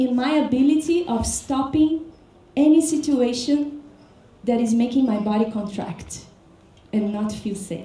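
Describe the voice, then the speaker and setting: Over audible room echo, a woman with a Portuguese accent speaks at a fairly slow pace in a high voice with lively intonation. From Brazil. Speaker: dance teacher. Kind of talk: workshop talk. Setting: workshop with audience.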